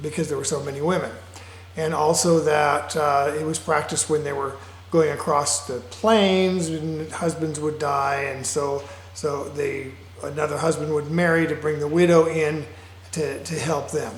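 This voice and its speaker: Noticeable background noise and audible room echo surround a voice speaking at a fairly slow pace with ordinary pitch variation. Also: man. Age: 60s. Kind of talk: personal monologue. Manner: halting, many fillers.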